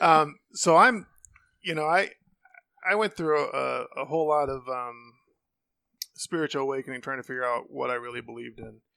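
In an American accent, the speaker talks at a fairly quick pace with fairly even intonation. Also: man. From Ohio, US Midwest. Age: 50s. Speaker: friend of host. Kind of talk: casual chat.

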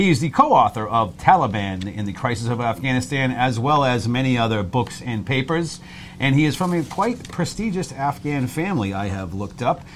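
A man with a normal speaking voice talks at medium pitch with lively intonation. His pace is fairly quick, with hardly any pauses. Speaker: podcast host. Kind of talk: interview.

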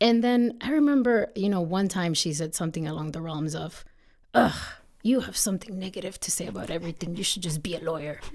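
Her intonation is lively and her pitch fairly low. The woman speaks at a very fast pace. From Texas border region (born in northeast Mexico). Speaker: attorney. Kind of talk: interview.

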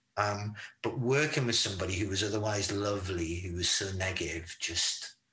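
A man's fairly low voice with a bright, sharp tone and audible room echo. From northeastern England, Newcastle. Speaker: rock singer and songwriter. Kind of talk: casual chat.

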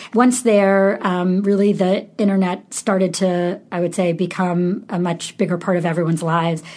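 Her intonation fairly even, a woman talks in a normal speaking voice. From upstate New York, Syracuse. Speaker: e-commerce executive and company founder. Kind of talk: interview.

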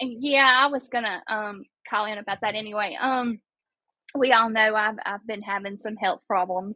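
This woman speaks with a Mississippi accent at a moderate pace. Her pitch is fairly high and her intonation fairly even. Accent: Southern US (Mississippi). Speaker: podcaster calling in. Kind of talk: casual chat. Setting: call-in to live show.

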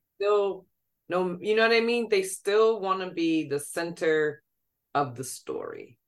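A woman with a plain, everyday voice talks at a fairly slow pace and a medium pitch. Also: ordinary pitch variation. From New York. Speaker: playwright and actor. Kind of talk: casual chat.

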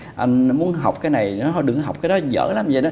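A man speaks at a fairly high pitch with ordinary pitch variation. The room echo is audible and background noise is noticeable. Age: 40s. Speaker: fashion designer and YouTuber. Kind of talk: casual chat.

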